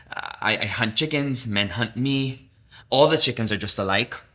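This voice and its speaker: Lively intonation carries a bright, sharp tone. The pace is moderate. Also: man. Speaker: theater actor. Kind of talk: dramatic literary reading. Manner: emotive, expressive.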